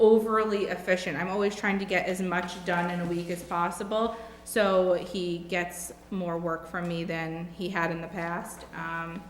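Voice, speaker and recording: A woman with an American accent and fairly low pitch at a very slow pace, amid noticeable background noise and audible room echo. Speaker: job candidate interviewee. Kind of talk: job interview.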